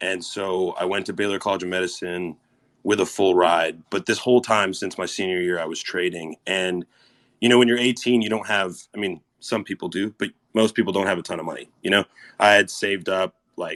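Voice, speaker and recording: A man with an American accent speaks in a normal speaking voice, fairly low in pitch, with ordinary pitch variation. His fairly quick delivery has a dry, close sound with no echo. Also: very clean recording, silent background. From Canada (Winnipeg, Manitoba) and Texas (Corpus Christi). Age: 20s. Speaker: stock trader. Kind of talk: interview. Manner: casual, filler-heavy.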